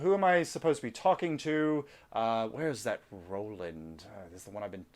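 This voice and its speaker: In a booming, put-on character voice, a man at medium pitch swings his pitch very widely and talks at a fairly quick pace. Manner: confused, impatient.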